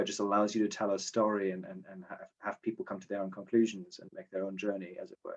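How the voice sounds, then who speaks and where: A man with a German accent talks at a very fast pace, fairly low in pitch, with hardly any pauses. His loudness swings widely while his intonation stays fairly even. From Germany. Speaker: short story writer, contest winner. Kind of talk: casual interview. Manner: halting, many repetitions. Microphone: connection issues.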